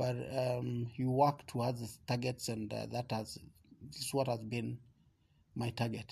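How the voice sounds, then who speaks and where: Speaking at a fairly slow pace, a man uses a medium pitch, a somewhat breathy voice and fairly even intonation. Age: 50s. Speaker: father interviewed by his daughter. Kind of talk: casual interview. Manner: halting.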